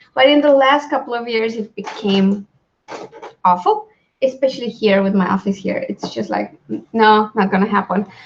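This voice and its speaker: Fairly high, somewhat breathy female voice, delivered at a moderate pace. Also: ordinary pitch variation. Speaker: author hosting a live writing stream. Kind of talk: casual live-stream chat. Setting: home office.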